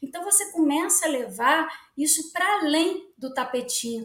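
Amid audible room echo, a woman speaks at a moderate pace in a high pitch with lively intonation. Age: 40s. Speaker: children's book author and yoga practitioner. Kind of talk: interview conversation.

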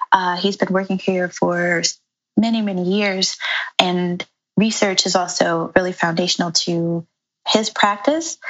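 Fairly slow pace from a woman with an ordinary speaking voice, medium pitch and fairly even intonation. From New York, Brooklyn. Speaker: landscape architect and urban planner. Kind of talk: interview.

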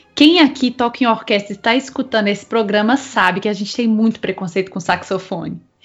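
With music in the background, a woman speaks in a high pitch. Her pace is moderate. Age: 20s. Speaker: podcast host, brass musician. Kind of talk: casual chat.

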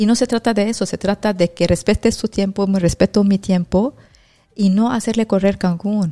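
At a moderate pace, a woman speaks in a medium pitch with a dark, mellow tone and fairly even intonation, the sound dry and close with no echo. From Lebanon. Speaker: real estate agent. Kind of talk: casual chat.

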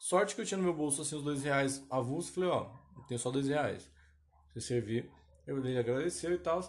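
Speaking fairly quickly, the man uses a fairly high pitch and ordinary pitch variation. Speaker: podcast host. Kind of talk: casual monologue. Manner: rambling, self-interrupting.

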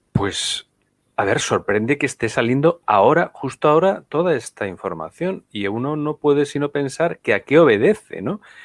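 Speaking with a Spanish accent, a man with a fairly high pitch and lively intonation keeps a moderate pace in a very clean, silent recording with a dry, close sound and no echo. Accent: Spanish accent liked by viewers. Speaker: political commentator. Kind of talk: live-streamed political talk show.

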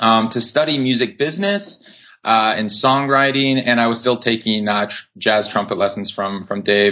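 Against a quiet background, a man with an American accent speaks at a moderate pace in a bright, sharp tone. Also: medium pitch for a man, ordinary pitch variation. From Wisconsin, US. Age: 20s. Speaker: singer-songwriter and music business writer. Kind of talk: casual interview. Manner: hesitant with many fillers.

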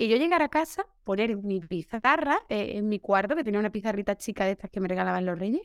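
A woman's normal speaking voice, fairly high in pitch with lively intonation, at a fairly quick pace in a very clean, dry, close recording with a silent background and no echo. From Seville, Andalusia, Spain. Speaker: primary school teacher. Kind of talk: casual interview chat.

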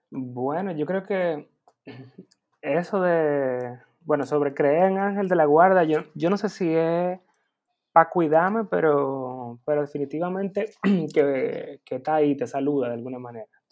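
This man has an unremarkable speaking voice, fairly high in pitch. He talks at a fairly slow pace with ordinary pitch variation. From Dominican Republic. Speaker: advertising copywriter and illustrator. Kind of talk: interview conversation.

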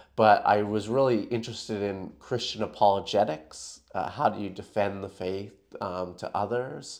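A plain, everyday voice from a man with a Canadian accent, fairly low in pitch with ordinary pitch variation, at a moderate pace over a quiet background. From Canada. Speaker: New Testament lecturer. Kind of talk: interview conversation.

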